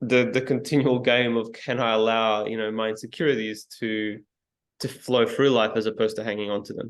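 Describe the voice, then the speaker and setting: In an Australian accent, the speaker moves at a fairly quick pace with monotone, flat intonation. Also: man, medium pitch for a man. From Yugoslavia, raised in Australia. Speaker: speaker trainer. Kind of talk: interview answer.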